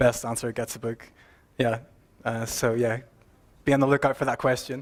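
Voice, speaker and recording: With an Irish accent, a man speaks at a medium pitch and moderate pace in a flat monotone, on a very clean recording with a silent background. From Ireland. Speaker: software consultant and mentor. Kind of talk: conference talk.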